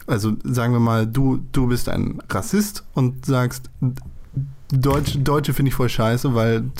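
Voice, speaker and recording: An unremarkable speaking voice talks at a fairly slow pace, with very even loudness throughout. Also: man, medium pitch for a man, ordinary pitch variation. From Germany. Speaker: podcast host. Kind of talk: casual chat.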